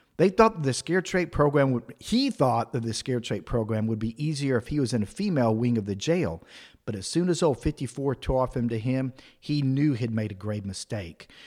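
A man's normal speaking voice at medium pitch, with an American accent, a fairly quick pace and lively intonation, on a very clean recording with a silent background. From Texas. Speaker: podcast host and comedian. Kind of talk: wedding toast: a comic, storytelling toast with profane jokes and a mock-serious build-up.

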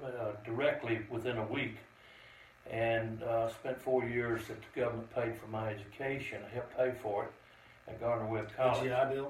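Moderate-paced male speech amid noticeable background noise. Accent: Southern US. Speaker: Vietnam veteran and VFW commander. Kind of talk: testimony. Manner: plainspoken; measured.

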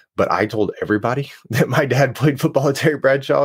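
Over a very clean recording with a silent background, a man in an unremarkable speaking voice talks at a fairly quick pace with lively intonation. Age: 30s. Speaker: legacy letter challenge founder. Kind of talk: interview.

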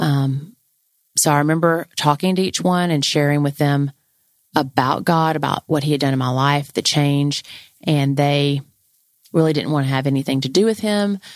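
In a dry, close sound with no echo, a woman speaks at a very deep, low pitch. Her pace is moderate and her pitch variation ordinary. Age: 40s. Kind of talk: personal testimony. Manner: casual and conversational.

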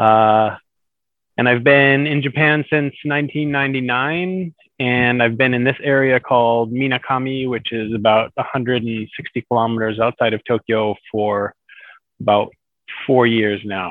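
Speaking with an American accent, a man keeps a medium pitch and fairly even intonation at a fairly slow pace.

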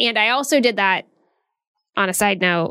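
A woman's medium-pitched voice has a bright, sharp tone on a very clean recording with a silent background. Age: 40s. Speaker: podcast host, career coach. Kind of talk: solo podcast monologue, motivational advice. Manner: casual, conversational.

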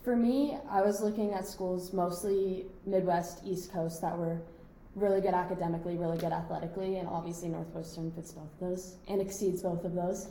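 With an American accent, a woman talks at a fairly quick pace in a medium pitch with fairly even intonation, amid noticeable background noise and audible room echo. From Scottsdale, Arizona. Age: young. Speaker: college soccer player. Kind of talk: casual chat. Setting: hotel room.

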